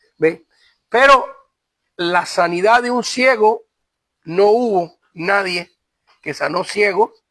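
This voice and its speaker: With a bright, sharp tone and a high pitch, a man speaks very slowly, with long, frequent pauses. His loudness swings a great deal while his pitch variation stays ordinary. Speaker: pastor and seminary teacher. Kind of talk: lecture. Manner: halting.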